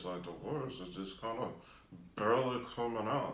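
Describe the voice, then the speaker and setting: Mumbling in a put-on character voice, a man at a medium pitch talks at a moderate pace with ordinary pitch variation and an audible echo. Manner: mumbling, mouth barely open.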